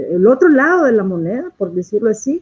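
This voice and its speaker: A woman speaks at a fairly slow pace, her fairly high voice dark and mellow in tone. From El Salvador. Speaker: activist, researcher and popular educator. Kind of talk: interview. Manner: hesitant, frequent fillers.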